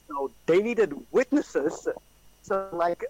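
A man's lively intonation, dry and close with no echo, over background music. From South Africa. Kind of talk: casual chat.

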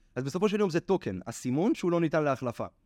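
Very fast and with very wide pitch swings, a man speaks in a dry, close sound with no echo against a quiet background. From Israel. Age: 20s. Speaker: NFT trader and lecturer. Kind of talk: casual interview.

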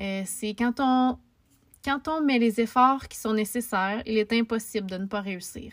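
Speaking with a Quebec accent, a woman uses a fairly high pitch, a fairly slow pace and fairly even intonation. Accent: Québécois French. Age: 20s. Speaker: podcaster. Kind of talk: casual monologue.

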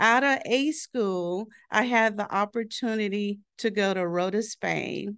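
Against a quiet background, a woman with an ordinary speaking voice and an American accent speaks fairly slowly at a medium pitch, with ordinary pitch variation. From southeastern Oklahoma. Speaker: human resources director, military veteran. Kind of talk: casual interview. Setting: office.

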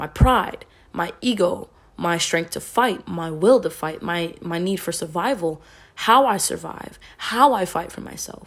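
The woman's voice is fairly low. Ordinary variation runs through her pitch. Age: young. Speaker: podcast host and poet. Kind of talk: casual solo talk.

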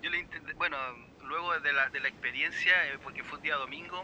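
Over noticeable background noise, a man with a Chilean accent talks at a moderate pace in a high pitch. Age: 40s. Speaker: percussionist. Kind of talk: casual chat.

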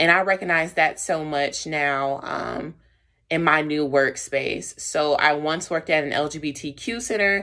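On a very clean recording with a silent background, a woman with a very deep, low pitch and a bright, sharp tone speaks at a fairly slow pace with ordinary pitch variation. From US South, Charlotte, North Carolina. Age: 20s. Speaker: community educator. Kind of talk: personal storytelling. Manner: casual, laughing.

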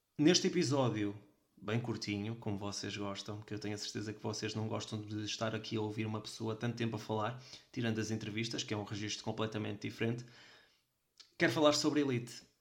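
With a European Portuguese accent, a man talks at a very fast pace. His voice is fairly low in pitch, with fairly even intonation. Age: 20s. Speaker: podcast host. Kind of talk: solo podcast monologue.

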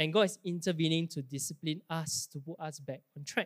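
With a Singaporean accent, the speaker keeps a moderate pace in a very clean recording with a silent background and a dry, close sound free of echo. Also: man. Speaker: preacher. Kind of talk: sermon. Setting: church. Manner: casual, conversational.

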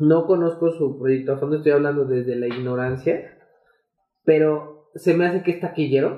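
This man speaks with a Mexican accent at a moderate pace. His pitch sits fairly high and his intonation stays fairly even. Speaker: podcast co-host. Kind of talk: casual chat.

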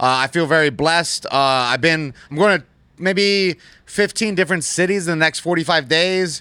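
In a very clean recording with a silent background, a man speaks at a moderate pace in a high pitch with a bright, sharp tone and ordinary pitch variation. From Las Vegas, US. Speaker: gaming streamer and influencer fighter. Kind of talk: casual chat. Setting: studio.

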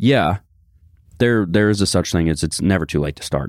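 A man at a fairly quick pace, with vocal fry and ordinary pitch variation. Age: 20s. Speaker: fitness company employee and co-host. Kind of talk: casual chat.

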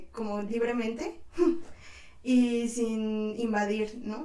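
Audible room echo surrounds a woman in a central Mexican accent. Her intonation stays fairly even. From Mexico, Tlaxcala. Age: 20s. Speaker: photojournalist. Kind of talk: casual interview chat.

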